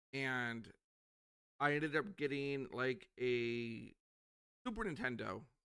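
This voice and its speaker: Bright and sharp in tone, a man speaks at medium pitch with ordinary pitch variation and an American accent. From USA. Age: 40s. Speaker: podcast host. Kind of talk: casual interview chat.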